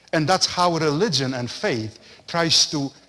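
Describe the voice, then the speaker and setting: A man speaks at a very slow pace. He has a strong non-native accent. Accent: thick foreign. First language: not English. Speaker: parish priest. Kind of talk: lecture. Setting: parish center.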